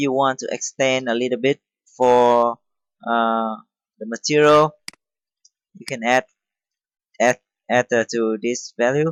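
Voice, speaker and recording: A man with a non-native accent speaks at medium pitch and a fairly slow pace, with long, frequent pauses. His intonation is fairly even but his loudness swings a lot, in a dry, close sound with no echo. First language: not English. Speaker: CNC machining tutorial maker. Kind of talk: software tutorial. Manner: halting, many fillers.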